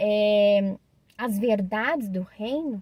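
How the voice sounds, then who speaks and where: A woman speaks in a calm tone, the sound dry and close with no echo. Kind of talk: religious reflection monologue. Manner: slow; calm, hesitant fillers.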